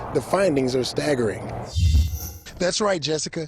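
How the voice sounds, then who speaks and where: Music plays in the background as a man speaks. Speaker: TV news reporter. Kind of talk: TV news report.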